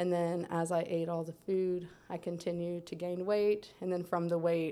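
Speaking at a moderate pace with an American accent, a woman has a fairly low pitch and a dark, mellow tone, heard on a very clean recording with a silent background. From Central Florida. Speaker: podcast guest sharing faith story. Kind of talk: testimony.

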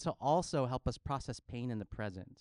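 An animated tone at a moderate pace, with a dry, close sound and no echo. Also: man. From Filipino heritage, US. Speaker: pastor. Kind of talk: sermon. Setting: church.

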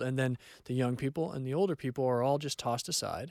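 A fairly high-pitched man with an American accent, in an ordinary speaking voice, at a fairly quick pace, the sound dry and close with no echo. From California. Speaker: counselor. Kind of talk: casual chat.

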